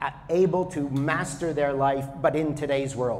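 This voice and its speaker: A man speaks at a moderate pace in a fairly high voice. Noticeable background noise and audible room echo surround him. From Canada. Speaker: spiritual teacher. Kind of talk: talk to an audience. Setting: yoga studio with audience. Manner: loud.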